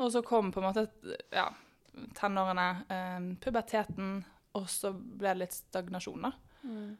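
A woman's medium-pitched voice at a fairly slow pace, with long, frequent pauses and fairly even intonation, on a very clean recording against a silent background. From Norway, Bergen. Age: 20s. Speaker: sprinter. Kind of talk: podcast interview.

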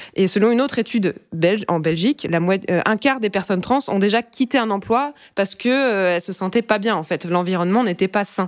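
In an ordinary speaking voice, a woman talks at a fairly quick pace, medium in pitch with ordinary pitch variation. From France, Brittany. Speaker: podcast co-host. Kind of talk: casual chat.

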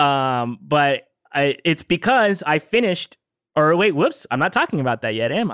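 Very wide pitch swings mark this speaker with a Californian accent, heard in a very clean, silent-background recording with a dry, close sound and no echo. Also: man, fairly high pitch for a man, moderate pace. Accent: Californian American English. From Southern California. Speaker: podcast co-host. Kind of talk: casual chat.

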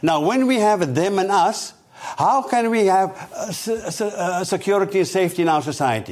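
A man's high voice rises and falls with lively intonation through noticeable background noise. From South Africa. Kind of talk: interview.

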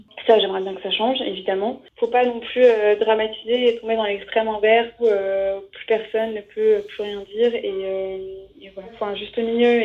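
Her fairly high-pitched voice runs at a moderate pace with hardly any pauses, as this woman speaks in a monotone, flat intonation with big swings in loudness. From France, Savoie. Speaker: single woman interviewed about dating. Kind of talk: interview testimony.

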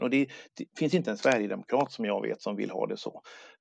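A man's voice, dry and close, with no echo. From Sweden. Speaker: local politician. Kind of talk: interview conversation. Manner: halting, many repetitions.

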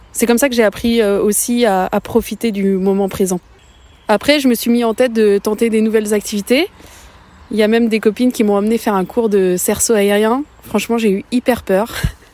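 A woman's fairly high voice at very even loudness, recorded dry and close with no echo. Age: 30s. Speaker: podcast creator, bereaved mother. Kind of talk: personal testimony. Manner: halting.

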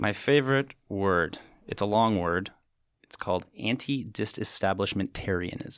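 A man with an ordinary speaking voice talks at a fairly slow pace, his pitch fairly low with ordinary variation. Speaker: winery representative. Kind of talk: casual chat.

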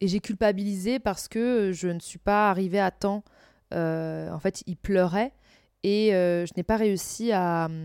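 Over a silent background in a very clean recording, a woman speaks at a very slow pace with a medium pitch and fairly even intonation, the sound dry and close with no echo. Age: 30s. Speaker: podcast host. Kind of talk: casual monologue.

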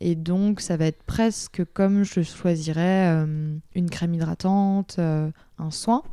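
A woman's fairly low, dark, mellow voice, very slow and fairly even in intonation, in a very clean recording with a silent background. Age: 20s. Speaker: patient advocate and author. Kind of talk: testimony. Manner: hesitant with fillers.

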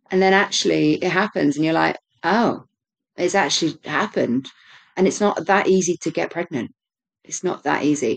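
A woman talks at a moderate pace in a fairly low pitch with ordinary variation, vocal fry, and long, frequent pauses. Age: 30s. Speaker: podcast co-host sharing her birth story. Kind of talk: casual interview chat.

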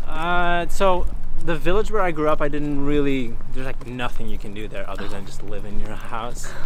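Moderate pace and a fairly high male voice, amid noticeable background noise and audible room echo. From Belgium. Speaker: music producer and DJ. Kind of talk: casual interview. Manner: casual, filler-heavy.

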